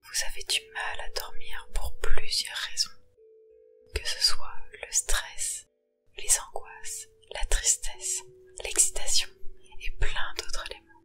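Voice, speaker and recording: Music plays in the background as the speaker goes at a very slow pace with long, frequent pauses. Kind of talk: guided sleep meditation. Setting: ASMR relaxation recording. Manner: whispered, soft, slow.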